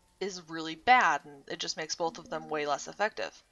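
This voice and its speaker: A woman is speaking. Her pace is moderate. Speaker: gaming video creator. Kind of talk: let's play commentary. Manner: casual, hesitant; soft-spoken.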